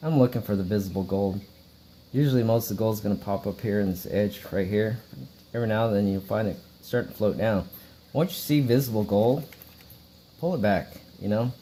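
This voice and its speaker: With long, frequent pauses, a man talks at a fairly quick pace in a fairly low pitch. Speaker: hobby gold prospector. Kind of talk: tutorial. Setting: at home. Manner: monotone.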